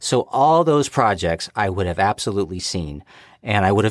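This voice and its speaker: A man speaks with an American accent, his pitch swinging very widely. The recording is very clean, with a silent background. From United States. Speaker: guest fan. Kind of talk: casual chat.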